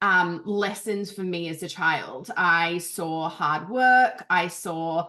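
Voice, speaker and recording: At a very slow pace, a woman speaks with an Australian accent in a bright, sharp tone. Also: fairly low pitch for a woman, ordinary pitch variation. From Australia, Canberra. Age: 30s. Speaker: business coach. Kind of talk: interview.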